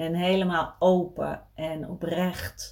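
A woman with a fairly low-pitched voice. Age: 40s. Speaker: podcast host, eating disorder recovery coach. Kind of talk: casual solo monologue. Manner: hesitant, many filler sounds.

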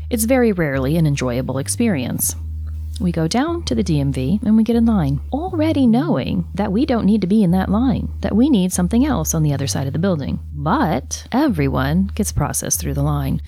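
A woman speaks at a fairly quick pace. Noticeable noise sits in the background. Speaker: podcast host narrator. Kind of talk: scripted narration.

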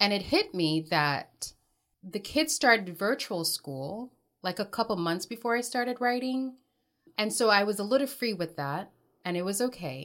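A woman speaks at a moderate pace in a medium pitch, her pitch swinging very widely. The recording is very clean, with a silent background. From Jamaica. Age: 40s. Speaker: writer, homeschooling mother. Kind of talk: casual chat.

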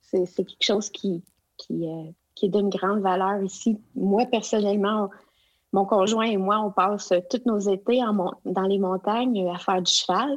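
Delivered at a fairly slow pace, the speech keeps a fairly even intonation. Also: woman, medium pitch for a woman. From Quebec (Abitibi, Outaouais). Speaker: education consultant. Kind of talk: interview. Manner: halting.

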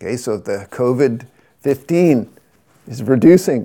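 A man's medium pitch and dark, mellow tone at a fairly slow pace. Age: 60s. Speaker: yoga teacher. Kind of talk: personal monologue podcast. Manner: halting, many fillers.

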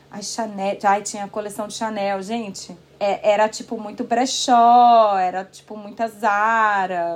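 A woman with a fairly high pitch speaks at a fairly slow pace in a monotone, flat intonation. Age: 30s. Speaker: author and former blogger. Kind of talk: casual interview chat.

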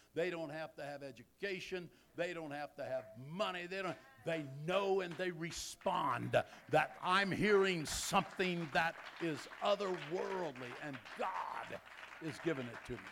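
A man's high-pitched voice at a fairly slow pace, with long, frequent pauses, big swings in loudness and crowd noise in the background. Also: ordinary pitch variation. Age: 70s. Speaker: visiting bishop and preacher. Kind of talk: sermon. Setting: church with congregation.

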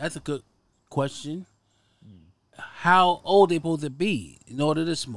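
A man with an American accent talks at a moderate pace with ordinary pitch variation and long, frequent pauses, on a very clean recording with a silent background. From Harlem, New York. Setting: outdoors.

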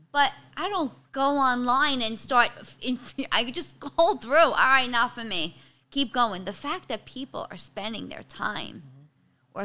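A woman speaks at a high pitch in a raised, projected voice with a bright, sharp tone and a strong Bronx accent. Her pace is fairly slow and her intonation lively. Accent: strong Bronx New York. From New York City, the Bronx. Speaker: stand-up comedian. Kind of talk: casual chat. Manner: animated.

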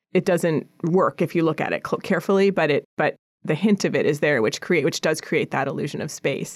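Her voice is fairly low with ordinary pitch variation. This woman has an unremarkable speaking voice. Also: fairly quick pace, dry, close sound with no echo, very clean recording, silent background. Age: 40s. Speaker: painter. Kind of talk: casual interview. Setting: studio.

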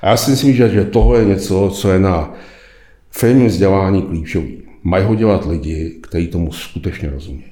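At a moderate pace, a man speaks with a very deep, low pitch and a dark, mellow tone, somewhat breathy and with ordinary pitch variation. Audible room echo surrounds the voice. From Czech Republic. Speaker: retired executive, leadership lecturer. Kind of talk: interview.

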